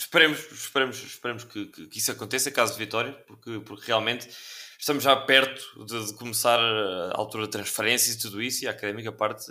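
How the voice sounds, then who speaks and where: A bright, sharp voice at a very fast pace, with ordinary pitch variation and big swings in loudness. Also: man, medium pitch for a man. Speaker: podcast host. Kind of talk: interview. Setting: video call.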